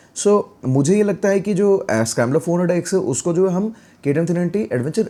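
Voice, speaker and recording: On a very clean recording with a silent background, a man with a dark, mellow tone speaks at a fairly quick pace. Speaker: motorcycle YouTuber. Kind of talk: product review vlog. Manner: casual, Hindi-English code-switching.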